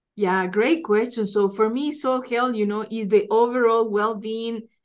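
In a Spanish accent, a woman speaks at a fairly high pitch with fairly even intonation. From Ecuador. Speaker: soil scientist. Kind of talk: interview. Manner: halting, many fillers and repetitions.

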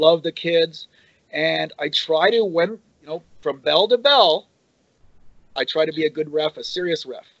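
A high-pitched man's voice with a Canadian accent and ordinary pitch variation. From Canada. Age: 60s. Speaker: pro wrestling referee. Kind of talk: interview, casual chat.

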